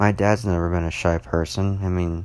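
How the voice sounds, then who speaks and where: This man is soft-spoken, with a very deep, low pitch. He talks at a moderate pace with fairly even intonation. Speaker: solo podcaster. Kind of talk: casual monologue. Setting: at home at night, others sleeping. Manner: soft-spoken, talking quietly; rambling with many fillers.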